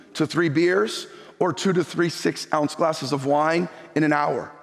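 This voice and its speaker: A man at a fairly slow pace, his pitch fairly high, with noticeable background noise. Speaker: pastor. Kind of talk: sermon.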